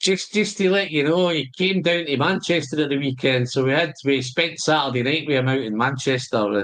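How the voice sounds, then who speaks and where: With a strong Glaswegian accent, a man with a fairly high pitch talks at a moderate pace with hardly any pauses, very even loudness and ordinary pitch variation. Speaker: whisky tasting host. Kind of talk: casual chat.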